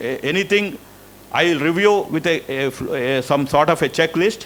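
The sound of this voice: A man speaks with a fairly bright tone, a fairly high pitch and ordinary pitch variation. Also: moderate pace.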